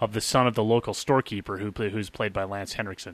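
Against a quiet background, a man speaks at a very fast pace in a bright, sharp tone. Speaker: podcast co-host. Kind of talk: casual chat.

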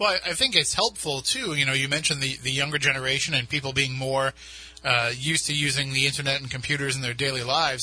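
A man's voice over noticeable background noise. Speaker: radio host. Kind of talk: radio talk show. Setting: radio studio.

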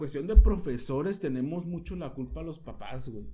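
Audible room echo surrounds a man with a Mexican accent, a dark, mellow tone and ordinary pitch variation. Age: 30s. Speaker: podcast co-host. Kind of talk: casual chat.

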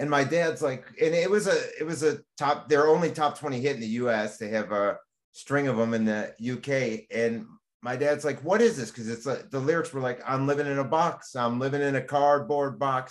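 A man with a normal speaking voice, pitched fairly high, talks at a moderate pace with ordinary pitch variation. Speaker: podcast host. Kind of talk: casual interview chat.

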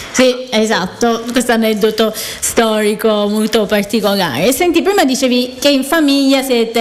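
Noticeable background noise accompanies a woman speaking in a fairly high pitch. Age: 30s. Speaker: radio host, cooking show. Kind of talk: casual radio chat.

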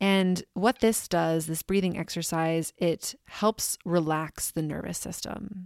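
Very slowly, a woman with a fairly low voice speaks in a calm, soothing tone and monotone, flat intonation. The recording is very clean with a silent background, and the sound is dry and close with no echo. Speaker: podcast host. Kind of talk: guided meditation. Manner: slow, calm, soothing; gentle, measured pacing with pauses.

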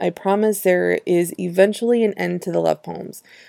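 A woman's dark, mellow voice at medium pitch, flat and monotone at a moderate pace, with a dry, close sound with no echo on a very clean recording with a silent background. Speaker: poet and podcast host. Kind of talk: poetry reading with casual commentary; spoken word poetry reading. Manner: chatty and confessional between poems.

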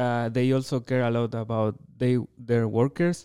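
A man's dark, mellow voice in a Chilean accent, medium pitch, fairly slow pace, and fairly even intonation. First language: Spanish. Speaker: veterinarian and dairy researcher. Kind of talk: interview.

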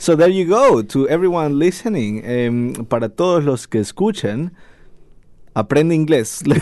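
Fairly high in pitch, a man talks with a Spanish accent at a moderate pace. His voice swings very widely in pitch. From Ecuador. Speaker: radio host. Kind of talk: casual radio chat. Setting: studio.

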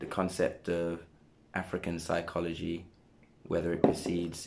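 Speaking in a British accent, a man has a very deep, low pitch. His pace is moderate, with long, frequent pauses. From Sierra Leone, raised in England. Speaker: podcast host. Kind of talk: casual interview chat; scripted outro. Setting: studio.

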